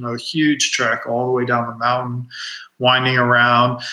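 Noticeable background noise sits behind a man's voice. He speaks at medium pitch and a moderate pace. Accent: American. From Washington DC suburbs (Silver Spring, Maryland). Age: young. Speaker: visual artist. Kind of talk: interview. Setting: video call.

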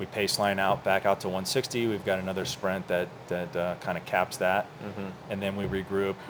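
Over noticeable background noise, a man with an American accent speaks at a moderate pace in a fairly low pitch with monotone, flat intonation. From US South, Orlando, Florida. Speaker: cyclist, business owner. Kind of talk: casual chat. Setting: coffee shop.

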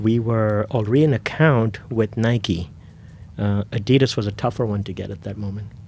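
This man has an ordinary speaking voice with a fairly low pitch and ordinary pitch variation. He talks at a moderate pace, with big swings in loudness. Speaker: sneaker store owner. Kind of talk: casual interview.

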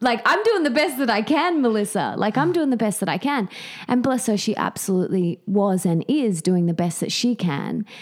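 In an Australian accent, an enthusiastic voice makes very wide pitch swings while keeping its loudness very even. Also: woman, fairly high pitch for a woman, moderate pace. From Australia, Sydney. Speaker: author and podcaster. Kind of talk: interview.

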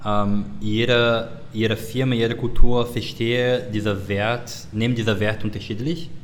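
A man with a non-native accent speaks at a fairly slow pace and medium pitch. His intonation is fairly even, and room echo is audible. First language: not German (speaking German). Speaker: service design director. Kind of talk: interview. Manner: halting, many fillers.

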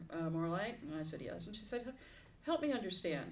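A woman with an American accent, with audible room echo. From Southern California. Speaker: retired minister. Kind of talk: interview.

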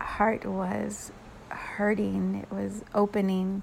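A woman talks over noticeable background noise. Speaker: spiritual podcaster and energy healer. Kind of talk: spiritual channeled message. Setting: home bedroom.

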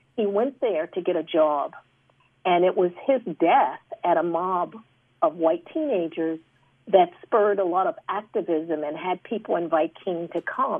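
A woman with an American accent has a fairly low pitch and ordinary pitch variation. It is a normal speaking voice. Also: fairly slow pace. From Chicago. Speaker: anthropologist and former university president. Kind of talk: panel discussion. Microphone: poor sound quality.

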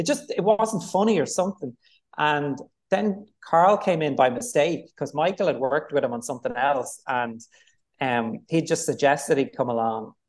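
A man with a Dublin accent, fairly high-pitched, with lively intonation. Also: moderate pace. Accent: Dublin Irish. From Ireland, Dublin. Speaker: film director. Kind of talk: interview. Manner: hesitant, filler-heavy.

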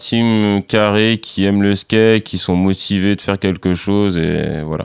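This man has an ordinary speaking voice with fairly low pitch. He talks at a moderate pace with fairly even intonation. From France, Saint-Denis (Paris suburbs), Antillean family. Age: 30s. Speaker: professional skateboarder. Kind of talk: casual interview.

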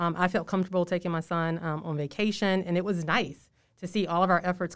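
A woman talks at a very fast pace with a fairly low pitch. The recording is very clean, with a silent background. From Louisiana. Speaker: state health official. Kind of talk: interview. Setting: in person, speaking through masks.

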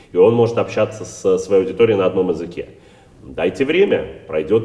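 With a plain, everyday voice, this man moves at a fairly quick pace, his pitch varying in an ordinary way. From Russia, St. Petersburg. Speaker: rabbi and community head. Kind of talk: interview.

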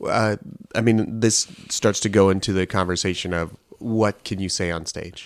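In a normal speaking voice, a man with a General American accent talks at a moderate pace, his pitch fairly low and his intonation fairly even, on a very clean recording with a silent background. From Colorado. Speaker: podcast host, improviser. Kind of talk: casual chat.

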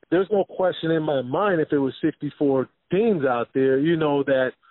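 Using an unremarkable speaking voice, a man talks at a fairly high pitch and a moderate pace. His pitch varies in an ordinary way. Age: 40s. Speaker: former basketball player and youth coach. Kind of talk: casual chat.

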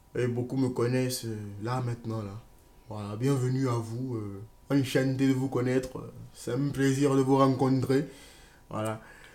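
Long, frequent pauses break up fairly slow speech, with noticeable background noise underneath. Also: man, medium pitch for a man. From Ivory Coast. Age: 20s. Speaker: student vlogger. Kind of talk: personal testimony vlog. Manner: animated.

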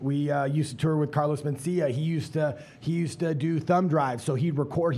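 This man's voice is fairly high-pitched and somewhat breathy. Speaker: stand-up comedian. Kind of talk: panel discussion. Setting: stage with audience. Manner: animated.

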